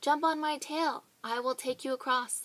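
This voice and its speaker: A woman uses a put-on character voice with a high pitch. She keeps a moderate pace. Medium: read story. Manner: polite, smooth.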